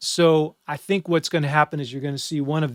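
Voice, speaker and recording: A man's normal speaking voice, fairly high in pitch, with ordinary pitch variation and a dry, close sound with no echo. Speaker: music instructor. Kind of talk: exam review lecture. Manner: casual.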